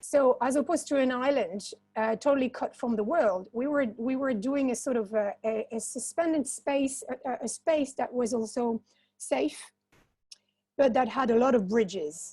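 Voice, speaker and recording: A woman's high-pitched, dark, mellow voice with a non-native accent, at a moderate pace and with ordinary pitch variation, on a very clean recording with a silent background. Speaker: social entrepreneur. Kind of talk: panel discussion. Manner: halting, many repetitions.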